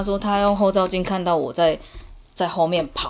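A woman's voice, medium in pitch, moves at a moderate pace. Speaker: podcast guest. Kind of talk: casual chat. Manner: loud; animated.

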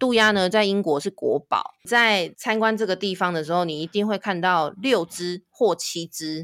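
A woman speaks at a moderate pace, at medium pitch. The recording is very clean, with a silent background. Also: dry, close sound with no echo. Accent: Taiwanese. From Taiwan, Taipei. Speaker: tour guide. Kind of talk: casual interview, storytelling.

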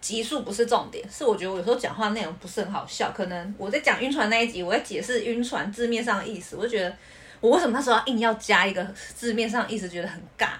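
Over noticeable background noise, a woman talks very fast at a fairly high pitch. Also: ordinary pitch variation. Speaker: podcast co-host. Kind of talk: casual chat. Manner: laughs easily.

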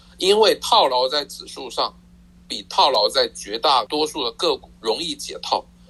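A man speaks at a fairly slow pace. His loudness rises and falls sharply. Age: 60s. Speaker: personal finance author. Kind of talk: interview.

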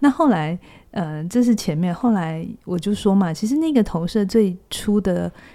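Here a woman speaks at a moderate pace in a dark, mellow tone with ordinary pitch variation. The recording is very clean, with a silent background. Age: 40s. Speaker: psychologist. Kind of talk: casual chat.

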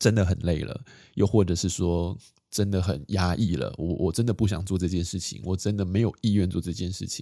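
Over a silent background in a very clean recording, a man speaks at a fairly quick pace with a very deep, low pitch, a dark, mellow tone and ordinary pitch variation. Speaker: podcast host on minimalist living. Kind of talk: casual solo chat. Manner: calm, relaxed pace with fillers.

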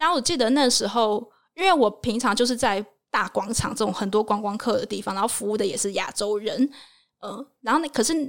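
In a very clean recording with a silent background, an unremarkable speaking voice goes at a fairly quick pace, with ordinary pitch variation. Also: woman, fairly high pitch for a woman. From Taiwan. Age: 20s. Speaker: working holiday traveler and travel blogger. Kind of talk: casual interview chat.

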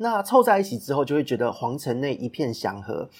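In a normal speaking voice, a man talks at a fairly quick pace with lively intonation and a medium pitch. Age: 30s. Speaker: podcast host and business consultant. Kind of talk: solo podcast monologue.

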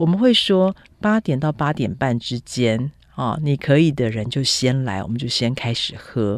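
A woman's very deep, low-pitched voice with lively intonation at a fairly slow pace. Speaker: food and travel writer. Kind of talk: interview.

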